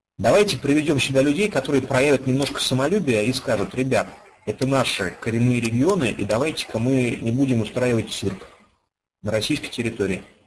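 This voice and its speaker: A man talks fairly quickly in a somewhat breathy voice with lively intonation. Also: medium pitch for a man. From Russia, Ufa (Bashkortostan). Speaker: online game player, former radio and TV journalist. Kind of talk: interview.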